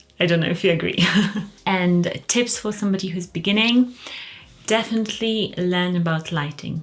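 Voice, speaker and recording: A soft-spoken woman at a medium pitch talks at a moderate pace with ordinary pitch variation over noticeable background noise. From Poland, moved to England at thirteen. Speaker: fragrance and luxury YouTuber. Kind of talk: casual Q&A video. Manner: quiet, soft-spoken.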